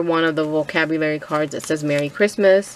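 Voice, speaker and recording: A woman speaks with fairly even intonation. Noticeable background noise sits behind her. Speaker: crafter sharing a design team project. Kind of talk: craft tutorial walkthrough. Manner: hesitant with frequent fillers.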